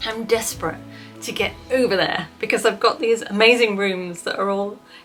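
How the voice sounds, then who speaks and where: Music plays in the background as a woman talks at a moderate pace. She has a British accent and a fairly high pitch. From Britain. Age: 40s. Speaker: vlogger. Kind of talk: casual chat. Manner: animated.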